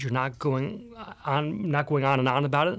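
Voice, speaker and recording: At a fairly quick pace, a man speaks in a plain, everyday voice with a fairly high pitch. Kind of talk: casual chat.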